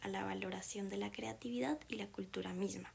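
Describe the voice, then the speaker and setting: A woman is speaking. Her pace is fairly quick. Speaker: documentary narrator. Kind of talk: scripted narration.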